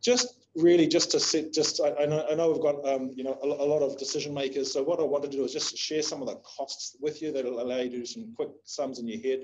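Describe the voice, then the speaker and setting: A man with a New Zealand accent at a very fast pace, fairly high pitch and ordinary pitch variation. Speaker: investment agency CEO. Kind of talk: webinar presentation. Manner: halting, many fillers.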